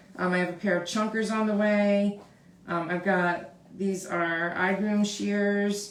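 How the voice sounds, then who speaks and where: Through noticeable background noise and audible room echo, a woman speaks fairly slowly in a flat monotone, her loudness very even. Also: medium pitch for a woman. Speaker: dog groomer. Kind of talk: live tutorial. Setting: live stream, grooming table. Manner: casual, chatty.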